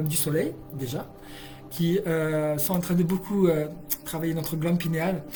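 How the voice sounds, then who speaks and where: A high-pitched man talks while music plays behind him. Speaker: energy healer and hypnotherapist. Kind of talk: live stream talk. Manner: fast; animated.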